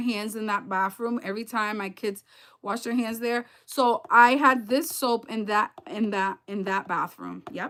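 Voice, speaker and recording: Recorded very cleanly against a silent background, a woman with a high pitch and a bright, sharp tone speaks at a fairly slow pace with ordinary pitch variation. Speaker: parent reviewing products. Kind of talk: casual, chatty. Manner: stutters, repeats words.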